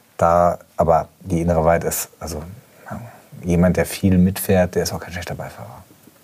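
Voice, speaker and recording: Very deep and low, a man's voice holds a fairly even intonation while its loudness swings widely. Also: moderate pace. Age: 40s. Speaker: motoring journalist and editor. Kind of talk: casual chat.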